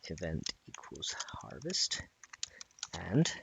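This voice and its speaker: The voice is quiet and moves at a very slow pace. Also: man. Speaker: gaming streamer teaching modding. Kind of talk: live-streamed coding tutorial. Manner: talking quietly.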